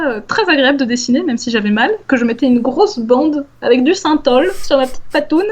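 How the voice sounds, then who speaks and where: A high-pitched woman talks at a moderate pace with lively intonation. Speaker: science communicator, former PhD researcher. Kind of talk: casual interview conversation.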